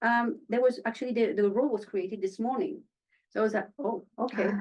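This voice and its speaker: A woman with a French accent, talking at a very fast pace. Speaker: actress. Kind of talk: panel interview.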